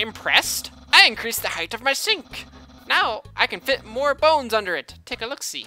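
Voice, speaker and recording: A put-on character voice sits at a fairly high pitch. It is raised and projected. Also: moderate pace. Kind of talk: comic overacting. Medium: game stream. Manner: grandiose, proud.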